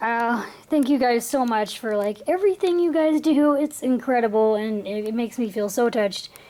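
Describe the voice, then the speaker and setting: Over noticeable background noise, a woman with a high pitch speaks at a moderate pace with lively intonation. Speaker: YouTuber, model horse collector. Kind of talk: haul video, casual chat to camera.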